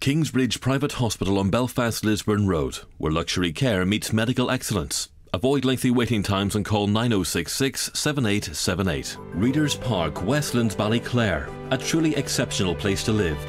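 With music in the background, a man speaks at a moderate pace in a fairly low pitch, using lively intonation, very even loudness and hardly any pauses. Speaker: voice actor. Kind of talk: TV commercial read.

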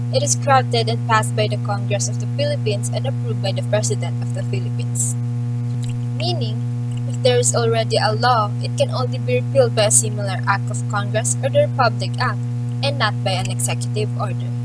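A woman races along at a very fast pace in a dry sound with no echo, over loud background noise. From Philippines. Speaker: student presenter. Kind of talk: class report. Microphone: phone near.

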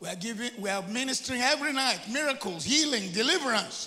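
A man speaks. His voice is raised and projected. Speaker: preacher. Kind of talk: sermon. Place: church. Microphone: handheld.

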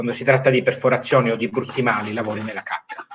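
A man's bright, sharp voice at a medium pitch, fairly quick in pace, with fairly even intonation. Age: 40s. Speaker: medical doctor. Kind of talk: live-stream interview. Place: home room. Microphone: video call.

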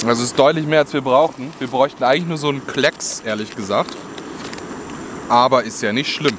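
Despite long, frequent pauses, a man keeps a fairly quick pace, his medium-pitched voice fairly bright in tone with ordinary pitch variation over faint background noise.

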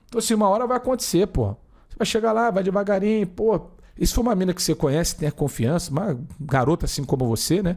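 A man races along at a very fast pace, high in pitch with lively intonation, over a quiet background. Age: 30s. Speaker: streamer. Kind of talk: live stream chat reading viewer comments. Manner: casual, slangy and animated. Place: home room. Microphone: studio mic.

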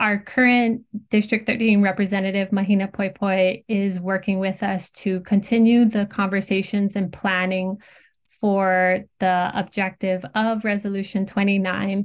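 Against a quiet background, a woman speaks at a fairly slow pace in a monotone, flat intonation. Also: medium pitch for a woman. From Hawaii. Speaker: community tourism coordinator; guest. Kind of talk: interview. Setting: video call. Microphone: video call.

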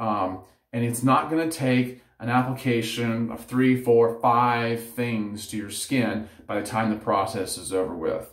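A man at a moderate pace, with audible room echo and music in the background. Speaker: head shaving vlogger. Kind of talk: tutorial. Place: home room. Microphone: phone near.

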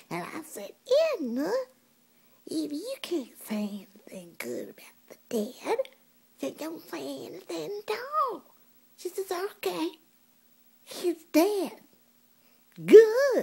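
Putting on a character voice, a woman speaks at an extremely high pitch and a fairly slow pace, with long, frequent pauses. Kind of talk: comedic monologue.

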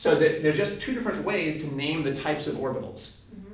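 Very fast speech from a man comes with audible room echo and light background noise. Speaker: tutor. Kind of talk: tutoring explanation. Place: classroom. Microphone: camera far.

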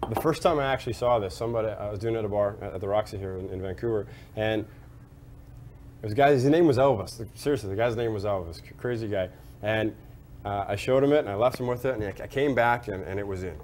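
Over light background noise, a man talks at a very fast pace. His pitch is fairly low, with ordinary variation. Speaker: bartending instructor. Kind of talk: tutorial with anecdote. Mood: amused, storytelling. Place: bar.

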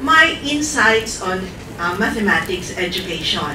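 A woman talks fairly slowly while noticeable background noise carries on behind her. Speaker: invited lecturer. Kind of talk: lecture. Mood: warm, smiling. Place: classroom.

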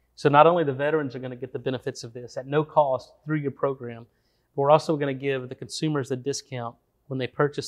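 Against a quiet background, a man talks very fast at a fairly high pitch, with monotone, flat intonation and big swings in loudness. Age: 40s. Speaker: biochemist and supplement entrepreneur. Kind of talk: interview. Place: studio. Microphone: lapel.

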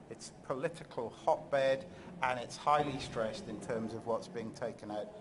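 Lively intonation marks this man's medium-pitched voice at a moderate pace. Noticeable background noise is present. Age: middle-aged. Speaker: geography professor; conference presenter. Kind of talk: scientific presentation; lecture. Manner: halting, many fillers. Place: hall. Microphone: podium.

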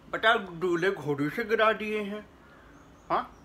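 Over light background noise, a man speaks in a raised, projected voice with ordinary pitch variation. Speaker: comic skit performer. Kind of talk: acted phone conversation. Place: home room. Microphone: phone near.

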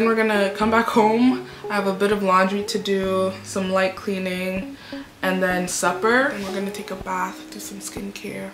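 Noticeable background noise sits under a woman's voice. She keeps a moderate pace and fairly even intonation. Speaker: vlogger. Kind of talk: casual vlog chat. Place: home room. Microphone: phone near.

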